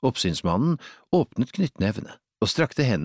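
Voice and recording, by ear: Quiet surroundings and a natural voice reading aloud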